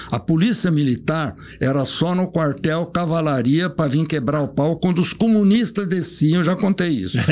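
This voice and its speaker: A man speaks at a fairly high pitch and moderate pace, with ordinary pitch variation. His loudness stays very even, and background noise is noticeable. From Brazil, Sorocaba (São Paulo state). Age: 80s+. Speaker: elderly local resident sharing memories. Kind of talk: casual reminiscing interview.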